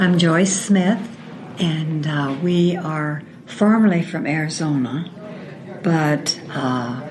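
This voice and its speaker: A woman's fairly low voice with ordinary pitch variation, noticeable background noise and audible room echo. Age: 70s. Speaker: retiree with memory loss. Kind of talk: interview. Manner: halting.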